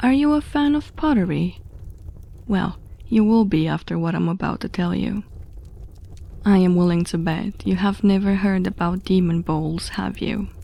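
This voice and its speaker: A woman's dark, mellow, somewhat breathy voice rises and falls in lively intonation at a moderate pace, broken by long, frequent pauses. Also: medium pitch for a woman. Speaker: horror story narrator. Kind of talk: horror story narration.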